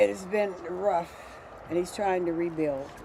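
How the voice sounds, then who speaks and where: Someone with an American accent speaks at a fairly slow pace over noticeable background noise. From Pennsylvania, Braddock. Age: 80s+. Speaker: poll worker. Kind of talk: street interview.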